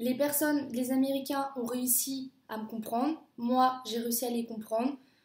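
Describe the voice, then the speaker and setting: The woman's pitch is high, with ordinary variation. She talks at a fairly slow pace. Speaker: au pair vlogger. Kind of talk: casual vlog monologue. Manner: hesitant, many fillers.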